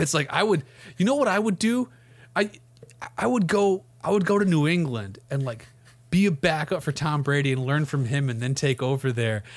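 Somewhat breathy and fairly quick, a man talks in a fairly high pitch with very wide pitch swings and long, frequent pauses. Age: 30s. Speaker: sports podcast host. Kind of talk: casual chat.

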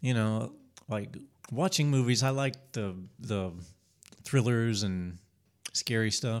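Very slow and broken by long, frequent pauses, a man speaks with an American accent at a medium pitch with ordinary pitch variation. The recording is very clean, with a silent background. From Spartanburg, South Carolina. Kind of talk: casual interview conversation. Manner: halting, repeats words.

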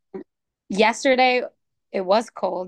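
A woman speaks with a Spanish accent and fairly even intonation in a dry, close sound with no echo. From Mexico, Sonora border town. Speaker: guest, podcast fan. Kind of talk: casual chat.

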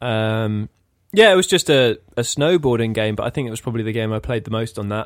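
With an English accent, a man talks at a fairly quick pace and medium pitch, with ordinary pitch variation. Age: 30s. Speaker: podcast co-host. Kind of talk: casual chat.

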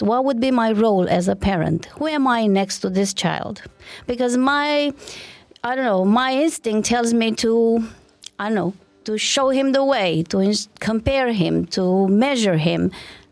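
A woman with a Romanian accent at a fairly slow pace and ordinary pitch variation, music in the background. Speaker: parenting expert and co-host. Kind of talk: podcast interview discussion.

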